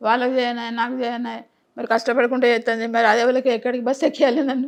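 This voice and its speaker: Against a quiet background, a woman's high voice holds a monotone, flat intonation. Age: 80s+. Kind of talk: interview answer.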